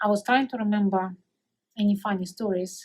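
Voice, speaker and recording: A woman with a Russian accent speaks at a moderate pace in a somewhat breathy, fairly high voice. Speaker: coworker of retiree. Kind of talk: recorded farewell message. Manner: halting.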